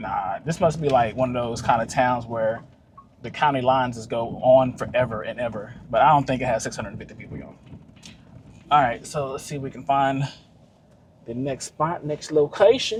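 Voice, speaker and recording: A man with a Texas accent, fairly quick and animated, at medium pitch with ordinary pitch variation and a somewhat breathy sound. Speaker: travel vlogger. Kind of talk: casual vlog narration. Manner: casual, animated.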